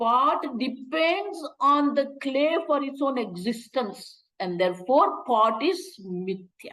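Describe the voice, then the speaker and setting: A woman speaks at a very slow pace with hardly any pauses. Her high pitch moves in very wide swings. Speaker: Vedanta teacher. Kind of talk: lecture.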